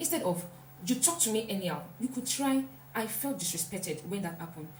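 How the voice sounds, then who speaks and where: A woman with lively intonation talks at a fairly quick pace, with audible room echo and noticeable background noise. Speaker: self-help vlogger. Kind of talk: motivational talk.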